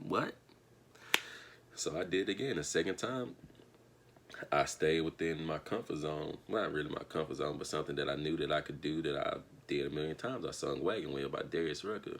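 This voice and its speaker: A man's very deep, low voice with an American accent and long, frequent pauses. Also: ordinary pitch variation, fairly quick pace. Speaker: vlogger and singer. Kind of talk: casual vlog storytelling.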